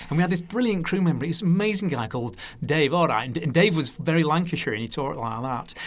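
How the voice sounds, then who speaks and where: With a northern English accent, a man talks at a very fast pace. His pitch is fairly high and his intonation lively. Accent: specific northern English school. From northern England. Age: 50s. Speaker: TV wine presenter. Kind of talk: casual interview chat. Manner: animated storytelling.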